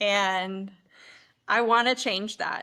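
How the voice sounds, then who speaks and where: In a strong Midwestern accent, a woman talks at a very slow pace and medium pitch. Her tone is bright and sharp, on a very clean recording with a silent background. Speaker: oral and maxillofacial surgeon. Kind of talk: podcast interview.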